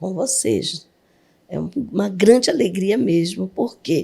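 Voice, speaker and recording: A dark, mellow tone comes through with vocal fry. The pace is very slow. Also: woman. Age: 60s. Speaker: pastor. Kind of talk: testimony.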